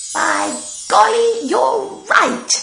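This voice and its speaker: A put-on character voice growls over clear background noise. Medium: read story.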